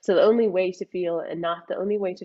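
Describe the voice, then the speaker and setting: A woman with a Scottish accent and a flat, monotone delivery. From Scotland. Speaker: mindset coach. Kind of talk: interview.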